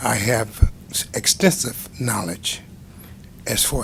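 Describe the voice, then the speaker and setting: A man with an American accent talks at a very slow pace. Noticeable background noise can be heard. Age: 70s. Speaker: construction cost estimator testifying as witness. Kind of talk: testimony at board hearing. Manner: halting, many fillers.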